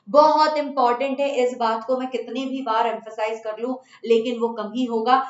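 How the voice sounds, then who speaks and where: A woman with a Bengali accent, her intonation fairly even, with hardly any pauses. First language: Bengali (speaking Hindi). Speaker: chemistry teacher. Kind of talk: online class talk to students. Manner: casual with fillers and hesitations.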